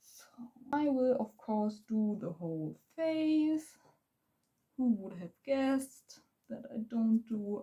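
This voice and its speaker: The voice has a dark, mellow tone and lively intonation in a German accent. It moves at a very slow pace with long, frequent pauses. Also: woman, big swings in loudness. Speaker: beauty vlogger. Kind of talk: makeup tutorial. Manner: halting; casual.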